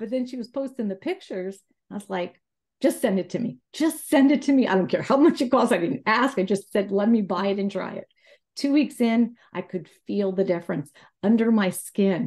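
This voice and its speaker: A woman talks at a moderate pace with a fairly high pitch. Her voice is somewhat breathy, and the background is quiet. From Florida. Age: 60s. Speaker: customer testimonial. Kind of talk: testimony. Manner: casual, hesitant with fillers.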